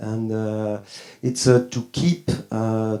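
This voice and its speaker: A man speaks very slowly with a French accent. His tone is dark and mellow. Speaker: winemaker. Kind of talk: audience remarks at tasting. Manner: halting.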